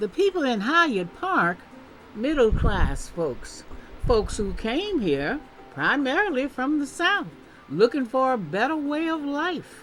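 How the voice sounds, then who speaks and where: Music plays behind a woman whose high voice makes very wide pitch swings. She talks at a very slow pace. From Tennessee. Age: 70s. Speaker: public policy researcher and commentator. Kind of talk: opinion commentary monologue. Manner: animated.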